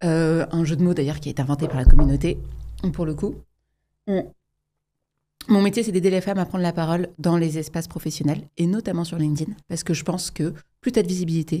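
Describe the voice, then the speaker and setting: The woman's voice has a fairly low pitch and a dark, mellow tone. She moves at a fairly quick pace with fairly even intonation, yet leaves long, frequent pauses. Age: 30s. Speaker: entrepreneur, public speaking coach. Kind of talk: casual interview. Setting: studio.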